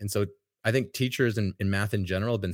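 A man speaks with a plain, everyday voice at a fairly low pitch, his intonation fairly even. The sound is dry and close with no echo, on a very clean recording with a silent background. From Canada. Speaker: math teacher and podcast host. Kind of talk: casual interview chat.

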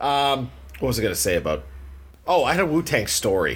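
This man's pitch swings very widely. Vocal fry runs through his voice. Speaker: podcast host. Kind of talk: casual chat. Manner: casual, laughing.

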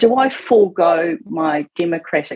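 This woman speaks in a New Zealand accent. Her pitch varies in an ordinary way. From New Zealand, Auckland. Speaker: political campaign spokesperson, former police detective. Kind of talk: radio interview. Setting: radio studio.

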